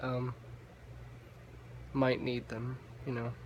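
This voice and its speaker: This is a man speaking. His pitch is medium. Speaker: vlogger. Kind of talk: casual monologue vlog. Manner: halting, stumbles on words; filler-heavy, hesitant.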